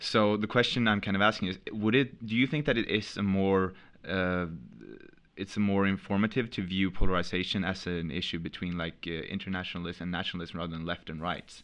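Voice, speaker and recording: Ordinary pitch variation in a Swedish accent. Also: man, very deep, low pitch for a man, fairly quick pace. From Sweden. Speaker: podcast host, editor. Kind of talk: interview.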